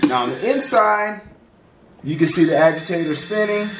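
A man at a moderate pace, with audible room echo and light background noise. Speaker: channel host reviewing products. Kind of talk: product review tutorial. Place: home room.

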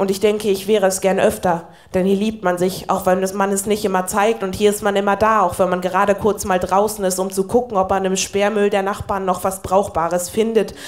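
A woman talks fairly quickly with hardly any pauses, in a monotone, flat intonation at medium pitch, against a quiet background. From Northern Germany. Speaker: poetry slammer. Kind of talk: poetry slam performance. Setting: live stage. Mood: wry, warm storytelling. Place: stage.

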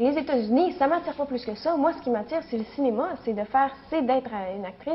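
Noticeable background noise sits under this recording. A woman speaks with a Quebec accent. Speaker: actress. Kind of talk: interview. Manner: halting, many fillers.

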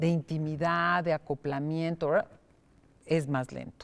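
Very deep, low-pitched female speech. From Mexico. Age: 60s. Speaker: psychotherapist; guest. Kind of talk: interview. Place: studio.

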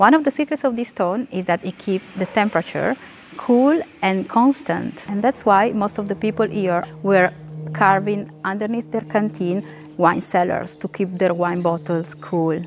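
Faint music sits in the background while a woman speaks with lively intonation. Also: moderate pace. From Piedmont, Italy. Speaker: tour guide. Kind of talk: travel video presentation. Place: street. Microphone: lapel.

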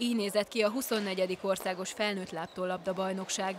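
At a moderate pace, a woman talks in a flat monotone at a medium pitch, with noticeable background noise behind her. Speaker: sports reporter. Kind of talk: scripted narration.

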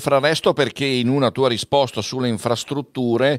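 Dry, echo-free sound at a moderate pace over a quiet background. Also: man. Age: 60s. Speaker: event moderator. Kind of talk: hosted panel discussion. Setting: studio. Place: studio. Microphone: studio mic.

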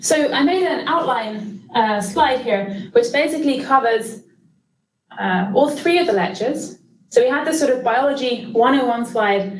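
A woman's high-pitched voice at a moderate pace, with audible room echo and light background noise. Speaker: lecturer. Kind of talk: lecture. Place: hall.

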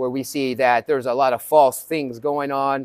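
Against a quiet background, a man talks at a moderate pace with a dry sound and no echo. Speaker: fitness coach. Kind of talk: sermon-like fitness talk. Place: gym.

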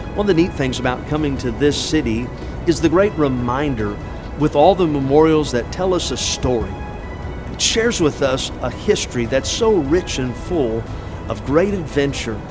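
With clear music in the background, a man talks at a moderate pace, his fairly high pitch showing ordinary variation. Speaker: pastor. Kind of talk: film host narration. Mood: earnest, patriotic. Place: waterside.

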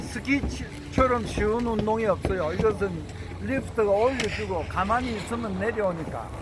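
Moderate pace over noticeable background noise. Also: man. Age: 70s. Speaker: senior skier. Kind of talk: interview answer.

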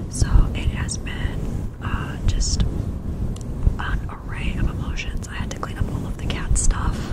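A woman whispers very slowly as noticeable background noise carries on. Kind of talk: casual talk to camera.

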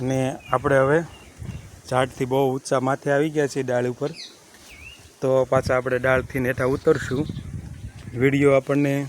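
A man speaks in a monotone, flat intonation over noticeable background noise. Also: medium pitch for a man. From Gujarat coastal village. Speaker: village vlogger. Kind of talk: video tour narration. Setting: outdoors at seaside temple.

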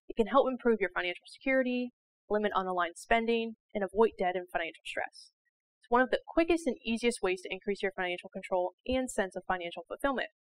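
Talking very fast with lively intonation, a woman makes big swings in loudness. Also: dry sound with no echo. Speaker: financial educator. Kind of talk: educational explainer to camera. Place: studio. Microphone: lapel.

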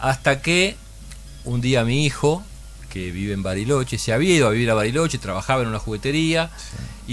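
A man's lively intonation and fairly quick pace come through with music in the background. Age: 60s. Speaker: puzzle company founder. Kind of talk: radio interview. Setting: radio studio with camera. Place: studio. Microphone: studio mic.

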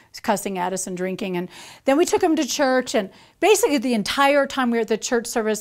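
A woman's very fast, lively-intoned speech over a quiet background. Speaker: speaker. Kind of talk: personal testimony storytelling. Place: studio.

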